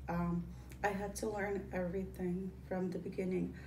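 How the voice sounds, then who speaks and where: In a Polish accent, a woman speaks at a moderate pace, with audible room echo around her. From Poland, moved to Connecticut as a child. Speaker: former psychiatric patient telling her story. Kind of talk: testimony. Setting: office meeting. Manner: halting, many fillers.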